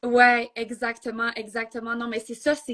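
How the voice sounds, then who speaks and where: At a moderate pace, a woman speaks in a fairly high pitch with a bright, sharp tone. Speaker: entrepreneur. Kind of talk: interview. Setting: Instagram live.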